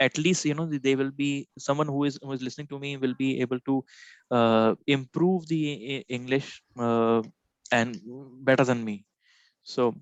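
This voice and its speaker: A man with an Indian accent speaks with fairly even intonation, with a dry sound with no echo and a quiet background. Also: moderate pace. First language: Hindi. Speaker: software trainer. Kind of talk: live one-on-one training session. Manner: halting, many fillers. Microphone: video call.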